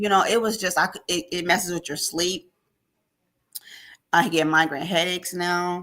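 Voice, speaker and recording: A woman with a fairly low pitch and a bright, sharp tone speaks with long, frequent pauses. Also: moderate pace. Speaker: ordained minister and baker sharing her story. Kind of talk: testimony. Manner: animated.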